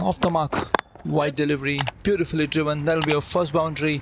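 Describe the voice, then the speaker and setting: A fairly high-pitched man talks very fast, his loudness very even and his intonation fairly even. Noticeable background noise is heard. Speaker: gaming YouTuber doing his own cricket commentary. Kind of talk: live sports commentary over video game play, self-recorded. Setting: voiceover recorded over gameplay, edited. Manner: shifts to casual chatty explanation between play.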